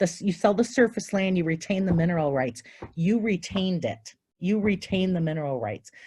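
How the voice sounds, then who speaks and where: A somewhat breathy woman's voice at medium pitch, dark and mellow in tone, with lively intonation and a fairly quick pace. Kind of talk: Q&A after a presentation.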